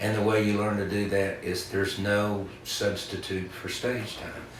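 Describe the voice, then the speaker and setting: With an Appalachian accent, a man speaks at a fairly low pitch against noticeable background noise. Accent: Southern Appalachian American. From western North Carolina. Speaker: singer-songwriter and storyteller. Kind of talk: interview answer. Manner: deadpan.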